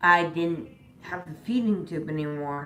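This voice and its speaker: A woman with a fairly low pitch and lively intonation speaks at a moderate pace, with audible room echo. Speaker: vlogger. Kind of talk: personal vlog. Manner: halting, many um fillers.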